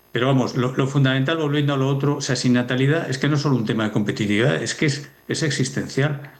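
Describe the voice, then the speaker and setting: A man speaks in a medium pitch with audible room echo. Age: 60s. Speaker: demography expert. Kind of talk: TV news interview.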